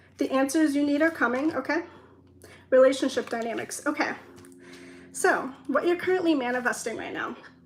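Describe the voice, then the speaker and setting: Speaking at a high pitch, a woman keeps a fairly quick pace with ordinary pitch variation. Long, frequent pauses break her speech, and noticeable background noise is present. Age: 20s. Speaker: tarot reader. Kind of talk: tarot reading. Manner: rambling, talks in circles; trips on words.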